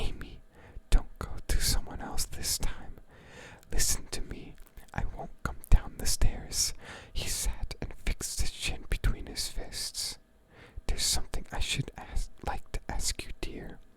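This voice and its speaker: In a whisper, the speaker goes at a fairly slow pace with a calm tone. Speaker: ASMR creator. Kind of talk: poetry reading. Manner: soft-spoken, calm.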